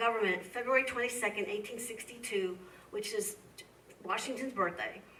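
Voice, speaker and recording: In a Midwestern accent, a woman with a fairly high pitch speaks amid audible room echo and noticeable background noise. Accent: Midwestern twang. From US Midwest. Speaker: history professor. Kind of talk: lecture Q&A. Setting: museum talk with audience.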